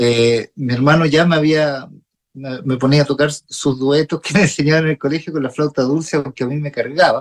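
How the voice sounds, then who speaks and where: Speaking at a moderate pace, a man with a fairly high pitch keeps his intonation fairly even, the sound dry and close with no echo. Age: 40s. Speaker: jazz guitarist and music teacher. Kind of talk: radio interview. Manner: halting, many repetitions.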